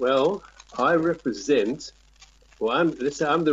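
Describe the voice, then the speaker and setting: A man with a South African accent speaks with ordinary pitch variation. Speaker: tourism representative. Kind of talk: interview. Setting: Skype call. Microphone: possible crackle on Skype line.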